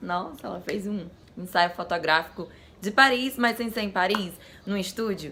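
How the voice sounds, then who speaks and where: A woman speaks at a medium pitch and moderate pace with ordinary pitch variation, amid noticeable background noise. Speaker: vlogger. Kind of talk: casual vlog talk.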